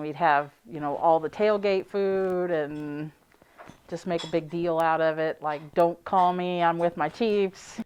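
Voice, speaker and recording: A woman's fairly low voice, an ordinary speaking voice, at a fairly slow pace against a quiet background. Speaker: football fan. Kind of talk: interview answer.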